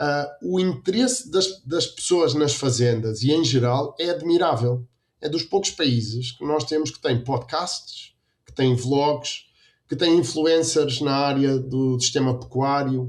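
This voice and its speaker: Speaking very slowly with a European Portuguese accent, a man with a fairly high voice shows ordinary pitch variation. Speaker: dairy quality consultant and lecturer. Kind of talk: interview.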